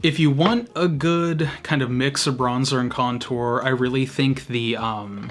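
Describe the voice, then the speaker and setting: A man speaks at a fairly slow pace with medium pitch and ordinary pitch variation. Noticeable background noise is present. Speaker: beauty youtuber. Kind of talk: makeup tutorial. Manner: casual, chatty.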